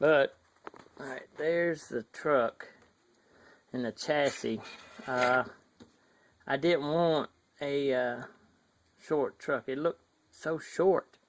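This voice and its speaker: In a strong Southern US accent, the speaker talks at a very slow pace with long, frequent pauses. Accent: thick Southern US. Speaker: hobbyist model builder. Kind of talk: casual vlog. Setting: outdoors in sunlight by garage. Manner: hesitant, many fillers.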